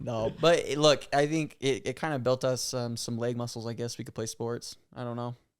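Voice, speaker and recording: A man with a plain, everyday voice speaks at medium pitch in an American accent, at a moderate pace with fairly even intonation. He hardly pauses, and the recording is very clean with a silent background. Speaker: podcast co-host. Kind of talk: casual chat.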